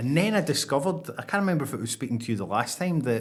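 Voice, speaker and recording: A man with a Scottish accent and ordinary pitch variation. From Scotland. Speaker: podcast host. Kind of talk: casual interview chat.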